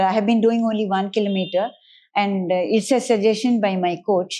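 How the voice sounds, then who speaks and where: A woman speaks in a fairly high pitch with a dark, mellow tone. The background is quiet. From India, Karnataka (Mysore). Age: 70s. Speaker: senior swimmer. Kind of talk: interview.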